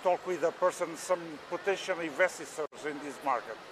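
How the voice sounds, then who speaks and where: A high-pitched man with a Portuguese accent, a moderate pace, ordinary pitch variation, and noticeable background noise. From Portugal. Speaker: machinery exhibitor. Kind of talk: interview. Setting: trade fair exhibition hall. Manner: halting, hesitant English.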